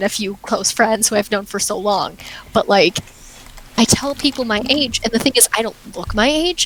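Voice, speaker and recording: A woman at a fairly high pitch and moderate pace, over noticeable background noise. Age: young. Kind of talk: casual chat. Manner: lowered voice today.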